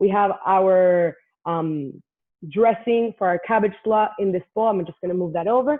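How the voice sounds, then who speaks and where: This is a woman speaking. Her pitch varies in an ordinary way. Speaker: cooking class instructor. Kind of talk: live cooking class tutorial. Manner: fast; animated.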